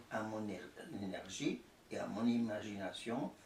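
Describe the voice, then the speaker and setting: The pitch varies in an ordinary way. There is audible room echo along with noticeable background noise. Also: man. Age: 80s+. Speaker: artist. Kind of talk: interview. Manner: halting, with many repetitions.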